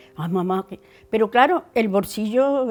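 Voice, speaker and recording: The speech comes at a fairly quick pace with lively intonation in an Andalusian accent. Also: woman. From Andalusia, La Rambla (Córdoba). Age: 70s. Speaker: interviewee sharing memories. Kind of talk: personal testimony. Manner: halting.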